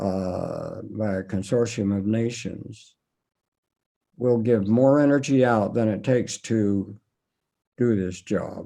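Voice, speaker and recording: Very slowly and with long, frequent pauses, a man speaks at a medium pitch with a dark, mellow tone and fairly even intonation. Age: 80s+. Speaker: retired physics professor. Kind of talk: interview.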